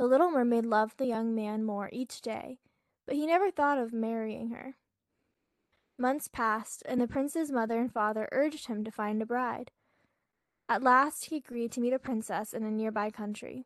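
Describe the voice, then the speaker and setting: A woman with a normal speaking voice and a fairly high pitch talks at a moderate pace with ordinary pitch variation, recorded dry and close with no echo over a quiet background. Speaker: podcast co-host. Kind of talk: bedtime story reading. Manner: soft, gentle, dreamy.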